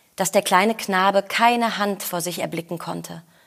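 Speaking at a fairly slow pace with ordinary pitch variation, a woman is captured on a very clean recording with a silent background. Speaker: actor reading fairy tale aloud. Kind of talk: scripted storytelling, fairy-tale reading.

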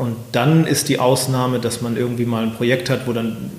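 Speaking at a fairly quick pace in a medium pitch, a man keeps a monotone, flat intonation amid noticeable background noise and audible room echo. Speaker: company executive. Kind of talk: interview. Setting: office in a castle.

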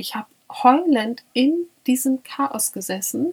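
This woman speaks with a high-pitched voice. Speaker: podcast co-host. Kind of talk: casual chat.

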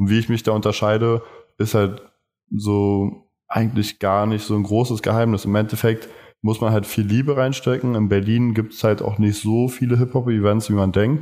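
A man with a fairly low pitch and a dark, mellow tone speaks at a moderate pace in a monotone, flat intonation, his loudness very even. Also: very clean recording, silent background. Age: 20s. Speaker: fashion marketing student and event organizer. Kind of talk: interview.

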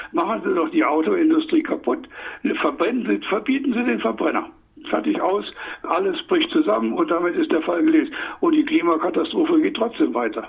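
With noticeable noise behind him, a man speaks at a moderate pace in an extremely high voice that swings very widely in pitch. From Saarland, Germany. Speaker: economist. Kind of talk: interview. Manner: animated.

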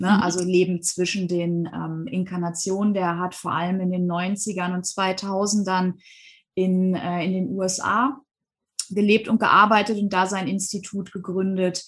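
Somewhat breathy, flat, monotone delivery at a fairly slow pace. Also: woman, medium pitch for a woman. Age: 40s. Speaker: hypnosis and past-life regression coach. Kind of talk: interview.

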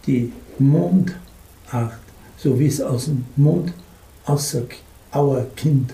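There is audible room echo as a man speaks. His pitch is fairly high and his pace very slow. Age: old. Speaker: publisher, retired school headmaster. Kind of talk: interview storytelling.

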